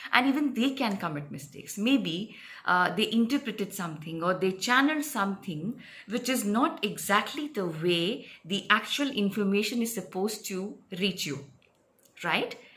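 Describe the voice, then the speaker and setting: With lively intonation and a bright, sharp tone, a woman speaks at a medium pitch and a moderate pace. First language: not English. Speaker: spiritual healer and psychic reader. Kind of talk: casual explainer talk to camera. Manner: hesitant, many fillers.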